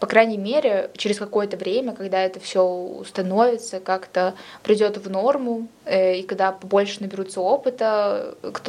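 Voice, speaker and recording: At a moderate pace, a woman speaks in an unremarkable speaking voice of medium pitch. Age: 20s. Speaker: history student. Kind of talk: casual chat.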